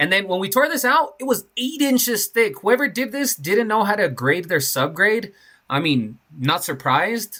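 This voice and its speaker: A man projects a raised, high-pitched voice with a bright, sharp tone and very wide pitch swings. He keeps a moderate pace on a very clean recording with a silent background. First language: not English. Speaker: concrete contractor. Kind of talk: casual job-site vlog narration.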